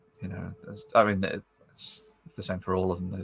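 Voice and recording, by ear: A man speaks at a moderate pace in a low pitch that barely moves, with a slightly husky edge and vocal fry.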